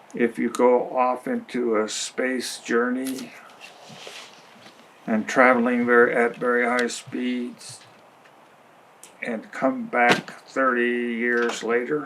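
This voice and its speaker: A man's medium-pitched, monotone, flat delivery at a very slow pace, with long, frequent pauses and noticeable background noise. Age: 80s+. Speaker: retired grandfather, documentary subject. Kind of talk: reflective interview monologue. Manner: halting.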